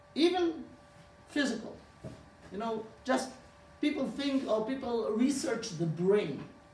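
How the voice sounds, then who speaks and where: Over noticeable background noise and audible room echo, a man with an extremely high voice speaks at a fairly slow pace with lively intonation and long, frequent pauses. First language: Hebrew. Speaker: rabbi. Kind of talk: lecture. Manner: halting.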